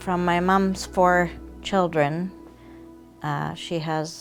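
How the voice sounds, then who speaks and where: Over music in the background, a woman speaks at a very slow pace in a monotone, flat intonation. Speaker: photographer's child. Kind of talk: interview answer.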